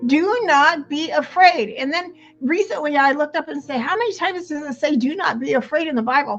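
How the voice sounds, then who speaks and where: With music in the background, a woman talks fairly quickly in a high voice, with lively intonation and hardly any pauses. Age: 70s. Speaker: podcast guest. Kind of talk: casual chat.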